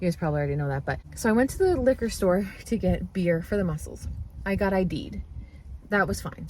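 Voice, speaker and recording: Noticeable background noise runs behind a woman with a Canadian accent who speaks in an animated tone at a fairly quick pace. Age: 30s. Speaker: vlogger. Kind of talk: casual vlog chat.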